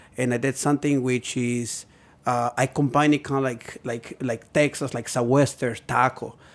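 A Spanish accent at a moderate pace with fairly even intonation, on a very clean recording with a silent background. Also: man. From Puebla, Mexico. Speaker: chef. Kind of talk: casual chat. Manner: halting.

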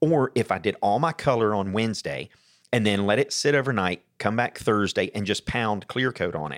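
A man with a normal speaking voice and an American accent, fairly low in pitch, lively in intonation, at a moderate pace, on a very clean, dry, close recording with a silent background and no echo. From US South, Atlanta area, Georgia. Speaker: custom motorcycle painter. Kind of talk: casual interview. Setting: in person at office.

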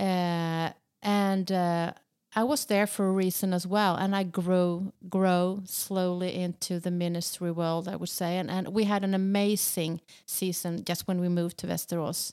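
A woman with a Swedish accent speaks at a fairly slow pace in a flat monotone at medium pitch. The recording is very clean, with a silent background. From southern Sweden. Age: 50s. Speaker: pastor. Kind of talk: interview.

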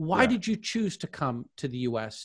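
A man's fairly high, somewhat breathy voice with very wide pitch swings. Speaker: professor and podcast host. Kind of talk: moderated discussion. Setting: video call. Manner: formal.

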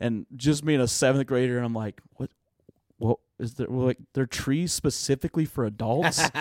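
With an American accent and a normal speaking voice, a man talks at a moderate pace and medium pitch with fairly even intonation, in a dry, close sound with no echo. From Oklahoma, Tulsa area. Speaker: student pastor. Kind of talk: casual interview chat.

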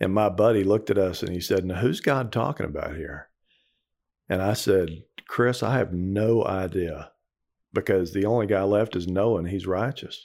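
Over a very clean recording with a silent background, a man with an American accent speaks at a moderate pace in a normal speaking voice. His pitch is fairly low, with ordinary variation. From Texas. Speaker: ministry program director. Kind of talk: testimony.

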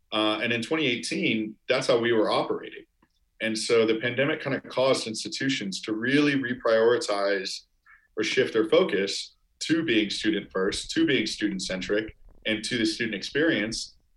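At a moderate pace, a man speaks in a plain, everyday voice with a medium pitch and ordinary pitch variation. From US Midwest, Chicago suburbs. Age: 20s. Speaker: startup founder. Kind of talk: casual interview.

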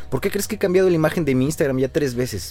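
A normal speaking voice carries lively intonation. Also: man. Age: 30s. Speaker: structural engineer and podcast host. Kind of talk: casual interview chat.

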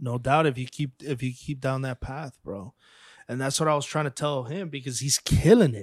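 A man speaks in an unremarkable speaking voice, medium in pitch for a man, with ordinary pitch variation at a moderate pace. The recording is very clean, with a silent background. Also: dry, close sound with no echo. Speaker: podcast host. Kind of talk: casual interview chat. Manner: casual, uses 'bro' often.

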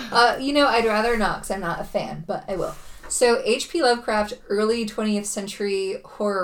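A woman speaks with an unremarkable speaking voice. Her pace is moderate and her pitch variation ordinary. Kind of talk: casual chat.

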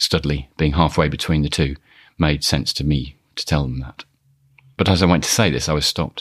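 A man's very deep, low voice with vocal fry and a Birmingham accent, fairly even in intonation and fairly quick in pace. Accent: Birmingham (Brummie). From Birmingham, England. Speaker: podcast host. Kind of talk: scripted personal storytelling.

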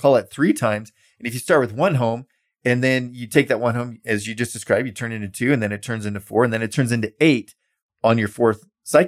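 Talking at a very fast pace, a man holds a medium pitch with ordinary variation. The recording is very clean, with a silent background. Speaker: real estate investment advisor and podcast co-host. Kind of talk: casual chat.

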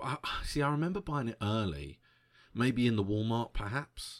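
Against a silent background on a very clean recording, a man with a British accent speaks with lively intonation. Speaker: podcast host. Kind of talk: solo podcast monologue about concert memories. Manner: slows down to control stammer; excitable, tends to trip over words.

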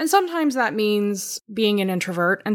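Lively intonation runs through an unremarkable speaking voice on a very clean recording with a silent background. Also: woman. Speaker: podcast co-host, editor. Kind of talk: casual chat. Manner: laughs often.

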